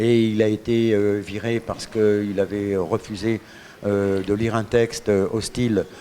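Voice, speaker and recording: A man's fairly low, dark, mellow voice with a slight Parisian accent, monotone and flat, at a fairly slow pace. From Paris, France, then Morocco. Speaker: radio guest. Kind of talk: interview. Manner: hesitant.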